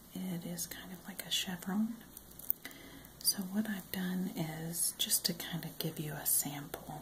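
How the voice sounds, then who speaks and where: Soft-spoken and calm, someone talks at a very slow pace over noticeable background noise. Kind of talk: crochet tutorial, soft-spoken instruction to camera. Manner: soft-spoken, calm.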